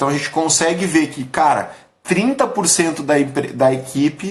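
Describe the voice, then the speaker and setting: The man's voice sits high in pitch, with ordinary variation at a moderate pace. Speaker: business coach / company leader. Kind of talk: live stream talk. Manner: casual, animated.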